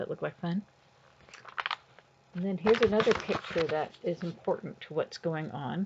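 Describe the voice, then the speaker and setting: A woman's fairly low, fairly slow delivery in an ordinary speaking voice with ordinary pitch variation. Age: 60s. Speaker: grandmother reading books aloud to grandchildren. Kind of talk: reading aloud to children with casual commentary. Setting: at home sitting on her bed. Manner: casual, chatty, with fillers.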